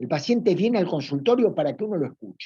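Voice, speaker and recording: Dry and close with no echo, a man with a Rioplatense accent speaks in a dark, mellow tone with lively intonation. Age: 60s. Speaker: psychoanalyst and teacher. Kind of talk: lecture. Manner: informal, conversational with fillers.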